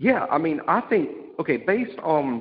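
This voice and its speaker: Speaking with a Southern US accent, a man takes a fairly slow pace. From Alabama. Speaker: sports podcast co-host. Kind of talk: casual chat.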